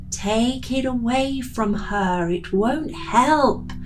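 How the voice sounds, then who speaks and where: Over loud background noise, a woman puts on a whiny character voice, speaking very slowly at a fairly high pitch. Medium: read story. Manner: whining.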